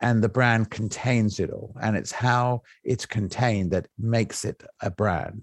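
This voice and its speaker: A man of medium pitch talks at a fairly slow pace over a quiet background. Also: fairly even intonation, dry, close sound with no echo. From England. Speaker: business executive. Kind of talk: interview conversation. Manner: halting.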